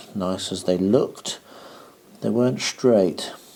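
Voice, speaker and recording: Speaking at a fairly slow pace, a man with a British accent has a very deep, low pitch with ordinary pitch variation. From Britain. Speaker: hobby vlogger. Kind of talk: hobby tutorial vlog. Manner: quiet, soft-spoken.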